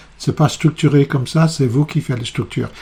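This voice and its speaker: A man with a fairly high-pitched voice. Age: 60s. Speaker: psychotherapist. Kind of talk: video presentation. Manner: halting, many hesitations.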